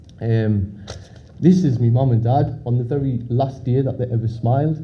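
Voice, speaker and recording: In a Sunderland accent, a man speaks at a moderate pace and medium pitch with fairly even intonation, and audible room echo surrounds him. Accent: Mackem (Sunderland, north-east English). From northern England, Sunderland. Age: 30s. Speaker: conference speaker with PKU. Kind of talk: talk to an audience. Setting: stage with audience. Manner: hesitant, many fillers and repeats.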